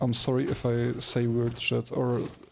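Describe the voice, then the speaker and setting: Music plays in the background. Over it, a man talks in a monotone, flat intonation. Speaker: video game streamer. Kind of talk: casual live-stream commentary.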